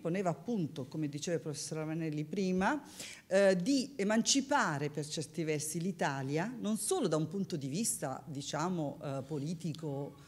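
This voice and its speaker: The intonation is lively and the pace moderate. It is an ordinary speaking voice. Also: woman. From Italy. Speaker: professor. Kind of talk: lecture. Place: hall. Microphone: podium.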